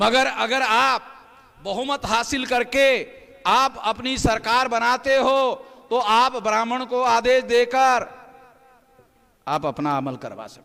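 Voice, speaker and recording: A man projects a raised voice at an extremely high pitch, with ordinary pitch variation and big swings in loudness. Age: 60s. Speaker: activist leader. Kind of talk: political rally speech. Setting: public rally.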